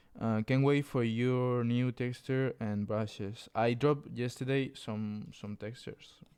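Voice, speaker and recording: A man with a Spanish accent, medium pitch, fairly even intonation, a fairly slow pace and hardly any pauses. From Spain. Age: 20s. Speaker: clothing designer streamer. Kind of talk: live stream tutorial chat. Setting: live stream. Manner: casual, reading chat aloud.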